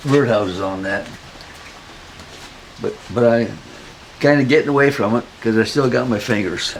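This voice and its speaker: Against noticeable background noise, a man with a Midwestern American accent speaks at a medium pitch and moderate pace, with ordinary pitch variation and long, frequent pauses. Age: 80s+. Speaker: retired hobby woodworker. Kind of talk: interview answer, shop tour.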